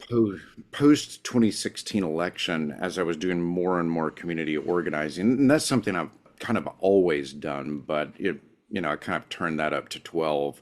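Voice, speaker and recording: A man speaks with an American accent and a very deep, low pitch. His pitch varies in an ordinary way. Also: moderate pace. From US South. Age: 40s. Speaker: professor. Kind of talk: casual chat.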